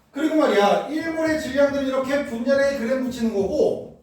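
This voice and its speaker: Pitched extremely high, a man speaks in an animated tone with ordinary pitch variation. Audible room echo fills the recording. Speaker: chemistry tutor. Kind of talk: lecture. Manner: casual, animated.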